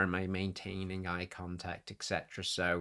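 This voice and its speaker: A man speaks at a moderate pace in a very deep, low voice with a bright, sharp tone. The recording is very clean, with a silent background. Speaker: content creator, streamer. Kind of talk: live stream casual talk. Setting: live stream on camera.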